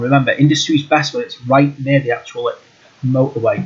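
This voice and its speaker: Over noticeable background noise, a man speaks at a fairly quick pace in a fairly high pitch. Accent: British. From UK. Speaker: gaming YouTuber. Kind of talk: gameplay tutorial.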